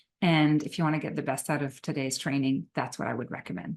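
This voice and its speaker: With a French Canadian accent and a very deep, low pitch, a woman talks at a fairly quick pace against a quiet background. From Quebec. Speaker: psychotherapist and trainer. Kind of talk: recorded webinar lecture.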